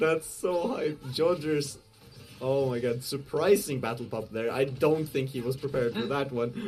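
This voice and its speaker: Over noticeable background noise, a man speaks at a fairly high pitch and moderate pace with ordinary pitch variation. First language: not English. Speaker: esports commentator. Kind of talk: live commentary. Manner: halting; animated.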